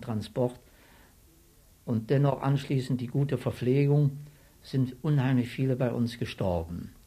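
At a very slow pace, a man speaks with a dark, mellow tone, a somewhat breathy quality and fairly even intonation. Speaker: war veteran, retired civil servant. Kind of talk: interview testimony.

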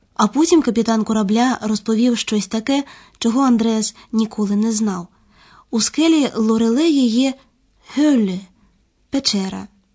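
A woman speaks with long, frequent pauses. Her voice is somewhat breathy. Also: fairly high pitch for a woman, ordinary pitch variation, fairly slow pace, very even loudness. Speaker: narrator of language course. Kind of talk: scripted narration.

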